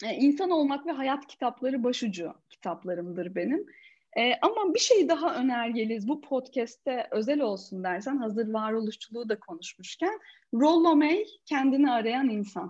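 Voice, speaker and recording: Speaking at a moderate pace, a woman uses a high pitch with very wide pitch swings. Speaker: coach and corporate trainer. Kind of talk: casual interview. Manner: animated.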